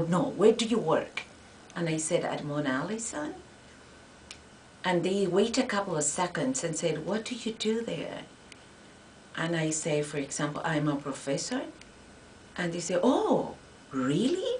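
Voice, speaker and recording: Over noticeable background noise and audible room echo, a woman speaks at a fairly slow pace with lively intonation and long, frequent pauses. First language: Spanish. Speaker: Spanish professor. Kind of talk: interview. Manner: halting.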